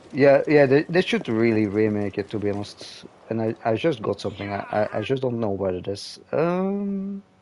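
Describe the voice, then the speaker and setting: A man's medium-pitched voice with a non-native accent, very wide pitch swings and a moderate pace. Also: hardly any pauses. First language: not English. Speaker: gaming streamer. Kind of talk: casual chat. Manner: halting, many repetitions and fillers.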